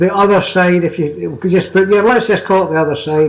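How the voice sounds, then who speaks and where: A man speaks at a high pitch with a Scottish accent. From Scotland. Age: 70s. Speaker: magazine editor and paranormal author. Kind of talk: interview.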